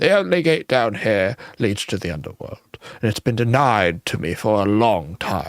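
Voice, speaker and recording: Putting on a character voice, a man talks at a moderate pace with a fairly low pitch. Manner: weary, worn down.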